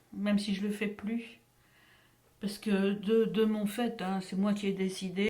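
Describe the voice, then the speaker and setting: A woman's fairly high voice with monotone, flat intonation over noticeable background noise. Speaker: voice actor. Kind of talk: interview answer.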